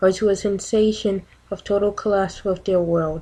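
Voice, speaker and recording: Soft-spoken and monotone, a woman talks with flat intonation in a dark, mellow tone. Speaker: ASMR reader. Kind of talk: ASMR reading of a radical text.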